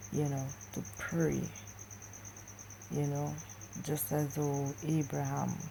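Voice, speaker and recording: A quiet, somewhat breathy woman's voice, very deep and low in pitch, dark and mellow in tone, with audible room echo. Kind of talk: religious vlog monologue. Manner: talking low, quiet.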